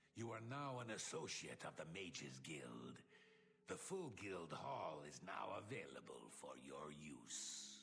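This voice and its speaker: A man puts on a character voice pitched very deep and low, speaking fairly slowly as background noise comes through clearly. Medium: video game. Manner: formal, officious.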